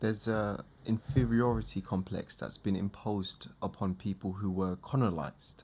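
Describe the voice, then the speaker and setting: Speaking with a British accent, a man with a fairly low pitch keeps a moderate pace with hardly any pauses and ordinary pitch variation. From UK. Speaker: podcast host. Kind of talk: casual chat.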